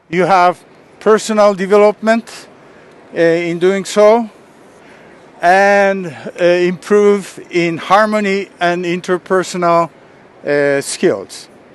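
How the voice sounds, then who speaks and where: A man's high-pitched, very slow speech with long, frequent pauses amid noticeable background noise. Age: 70s. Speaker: martial arts master and speaker. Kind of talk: lecture. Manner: halting.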